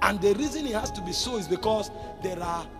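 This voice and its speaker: A man's voice with clear music in the background. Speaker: preacher. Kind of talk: sermon. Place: church. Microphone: handheld.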